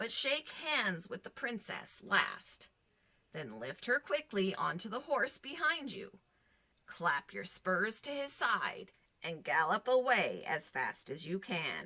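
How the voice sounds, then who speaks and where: At medium pitch and a fairly slow pace, a woman performs a put-on character voice. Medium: read story. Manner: calm, advising.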